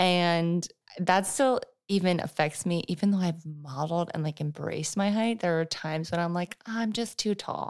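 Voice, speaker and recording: A woman speaks at a moderate pace with a fairly low pitch and an unremarkable speaking voice. The recording is very clean, with a silent background. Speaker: podcast co-host. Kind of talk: casual chat.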